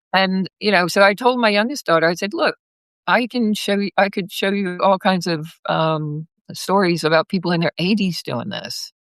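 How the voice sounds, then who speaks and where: In a plain, everyday voice, a woman delivers her words at a moderate pace. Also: medium pitch for a woman, ordinary pitch variation. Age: 60s. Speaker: massage therapist and pilgrim. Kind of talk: casual interview. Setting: live video call.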